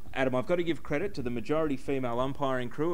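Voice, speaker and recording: With ordinary pitch variation, a man rattles along at a very fast pace. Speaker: web TV sports host. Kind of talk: sports panel discussion. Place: bar. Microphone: handheld.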